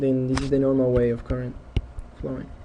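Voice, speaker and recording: Audible room echo and noticeable background noise come with a man's fairly high-pitched voice. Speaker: engineering lecturer. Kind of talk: lecture.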